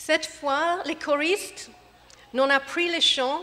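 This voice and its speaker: Over noticeable background noise, a woman with a high pitch speaks in a raised, projected voice. Her intonation is lively and her pace very slow. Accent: English. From England. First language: English (speaking French). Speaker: gospel choir director. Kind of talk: concert welcome speech. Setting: church with audience. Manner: hesitant, non-fluent French.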